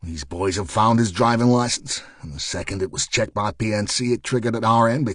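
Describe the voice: Plain reading aloud, its intonation fairly even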